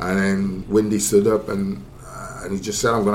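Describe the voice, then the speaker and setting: A man speaks with a Welsh accent at a moderate pace. His pitch is fairly low and his intonation fairly even. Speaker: football pundit. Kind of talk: casual football discussion.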